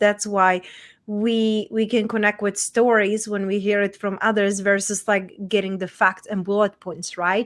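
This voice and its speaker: A woman speaks in a Czech accent at a medium pitch. Her pace is moderate. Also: very clean recording, silent background. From Czech Republic, small town. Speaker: women's transformation coach. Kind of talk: interview, personal story.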